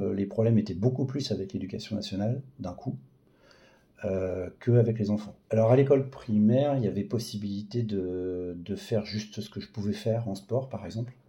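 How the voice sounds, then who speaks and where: This man's voice is fairly low in pitch, with a dark, mellow tone and a somewhat breathy quality. He keeps a moderate pace and ordinary pitch variation. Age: 40s. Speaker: patient with a rare disease. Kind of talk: testimony. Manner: halting.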